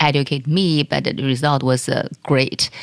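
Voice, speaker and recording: A woman with a Chinese accent and a very deep, low pitch. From China. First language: Mandarin Chinese. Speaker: corporate executive and investor. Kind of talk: interview.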